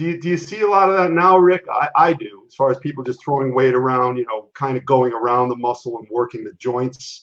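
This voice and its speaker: With an unremarkable speaking voice, a man talks with hardly any pauses, ordinary pitch variation and big swings in loudness. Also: medium pitch for a man, fairly quick pace. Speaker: podcast host. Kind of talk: interview host talk.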